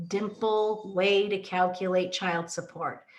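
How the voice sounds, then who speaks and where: Through noticeable background noise, a woman of medium pitch speaks at a very slow pace in a calm tone. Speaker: family law attorney. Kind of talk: legal explainer talk to camera. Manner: calm, slow.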